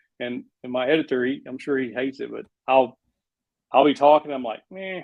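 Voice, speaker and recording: With a Southern US accent, a man talks at a fairly quick pace in a fairly high pitch with ordinary pitch variation. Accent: Southern US country. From Arkansas. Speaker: woodworking YouTuber. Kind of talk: interview answer. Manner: casual.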